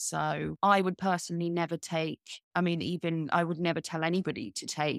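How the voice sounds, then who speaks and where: Speaking at a fairly quick pace in a British accent, a woman is heard in a very clean recording with a silent background and a dry, close sound with no echo. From Britain. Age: 30s. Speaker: writer and marketing agency director. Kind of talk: interview.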